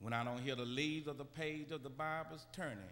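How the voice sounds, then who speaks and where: A man at a fairly slow pace with ordinary pitch variation, over light background noise. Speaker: preacher. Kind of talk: sermon. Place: church. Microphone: podium.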